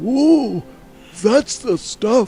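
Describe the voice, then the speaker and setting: In a put-on character voice, a man speaks at an extremely high pitch with lively intonation. Faint music plays in the background. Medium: video game.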